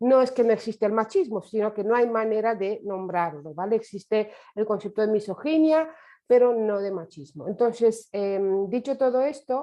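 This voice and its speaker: A woman with a Romanian accent speaks at a moderate pace. Her pitch is fairly high, with ordinary pitch variation. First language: Romanian (speaking Spanish). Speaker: survivor activist lecturer. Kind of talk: lecture. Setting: online webinar. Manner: hesitant, many fillers.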